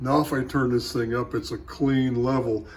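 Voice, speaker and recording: Somewhat breathy and medium in pitch, a man's voice moves at a moderate pace. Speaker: amateur radio operator, homebrew transmitter builder. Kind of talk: workbench tutorial. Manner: casual, halting with fillers.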